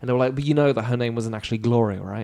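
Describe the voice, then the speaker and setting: Over a very clean, silent background, a man with a British accent talks in a dark, mellow tone with fairly even intonation. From France. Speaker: comedian and actor. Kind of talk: podcast interview answer.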